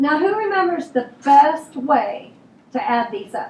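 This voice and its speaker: Loud, very slow speech with audible room echo. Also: woman. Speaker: elementary school teacher. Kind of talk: classroom review lesson. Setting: classroom.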